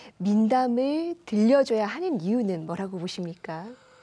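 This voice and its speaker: Against a quiet background, a woman speaks at medium pitch with a dark, mellow tone and lively intonation. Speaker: news anchor. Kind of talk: news interview questions.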